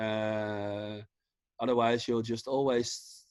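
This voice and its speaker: This man talks at a fairly slow pace with a Dutch accent and a monotone, flat intonation. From Netherlands, The Hague. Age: 30s. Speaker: vintage clothing seller. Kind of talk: casual chat. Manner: halting.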